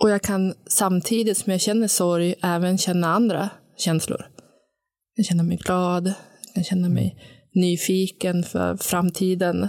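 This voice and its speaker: A woman with a strong Sundsvall accent speaks fairly slowly at medium pitch, on a very clean recording with a silent background. Her intonation is monotone and flat, her loudness very even. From Sundsvall, northern Sweden. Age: 40s. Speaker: recovering alcoholic, new co-host. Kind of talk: casual conversation, personal testimony. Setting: studio.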